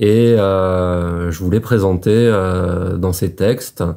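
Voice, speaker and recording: A man speaks in a very deep, low voice with a dark, mellow tone. His intonation is fairly even, and the background is quiet. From France, Médoc (Gironde, southwest); Gironde, France. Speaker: author. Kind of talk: book presentation monologue. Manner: hesitant, many filler sounds. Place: home room. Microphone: phone near.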